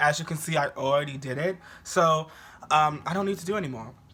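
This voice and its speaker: An animated, fairly quick man with an American accent and a fairly high pitch, ordinary pitch variation, and noticeable background noise. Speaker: beauty youtuber, drag performer. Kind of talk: makeup tutorial. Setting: at home. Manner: loud and animated.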